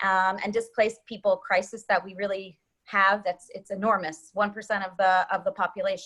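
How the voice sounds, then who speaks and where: Her pace is moderate and her pitch variation ordinary as this woman speaks. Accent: American. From US, New Jersey and New York City. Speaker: humanitarian development worker. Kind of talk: interview. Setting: group call.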